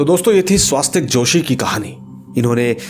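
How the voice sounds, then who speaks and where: A man's lively intonation comes through over music in the background. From Jammu and Kashmir, India. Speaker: horror story narrator. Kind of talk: reading aloud a listener's horror story; storyteller's outro to viewers.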